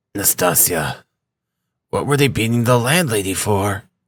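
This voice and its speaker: In a put-on character voice, a man sounds raspy, with a medium pitch and lively intonation. He keeps a moderate pace, and the recording is very clean with a silent background. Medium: read story.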